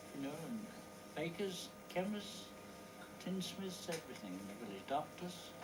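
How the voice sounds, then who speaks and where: Speech moves at a fairly slow pace with long, frequent pauses, over noticeable background noise. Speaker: village resident. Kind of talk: interview answer.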